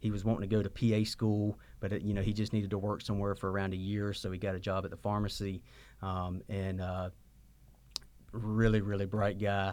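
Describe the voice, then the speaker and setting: In a very clean recording with a silent background, a man with a Southern US accent talks at a fairly quick pace and fairly low pitch, his intonation monotone and flat. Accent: Southern US (Georgia). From US South, Georgia (Sylvania). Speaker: pharmacist and pharmacy owner. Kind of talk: interview. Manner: halting, many repeated words.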